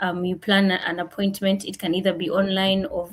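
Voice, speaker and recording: Her voice is somewhat breathy and medium in pitch. The woman keeps her intonation fairly even. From Kenya. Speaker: international master's student. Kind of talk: panel discussion.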